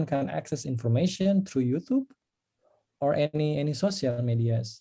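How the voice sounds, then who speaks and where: A man with a West Javanese accent speaks in a dark, mellow tone with lively intonation. His voice is somewhat breathy. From West Java, Indonesia (Sundanese). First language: Sundanese (speaking Indonesian). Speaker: engineer and former researcher sharing experience abroad. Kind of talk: online talk with Q&A.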